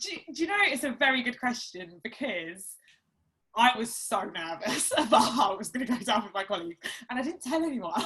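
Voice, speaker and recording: Speaking at a fairly quick pace with an Essex accent, a woman uses a high pitch that swings very widely. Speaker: barrister and author. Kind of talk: interview at a live talk event.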